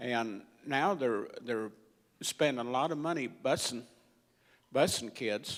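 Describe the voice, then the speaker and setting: A man, very slow, with long, frequent pauses, on a very clean recording with a silent background. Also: medium pitch for a man, ordinary pitch variation. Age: 60s. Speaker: audience member. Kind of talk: audience question. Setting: breakfast event with audience. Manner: halting.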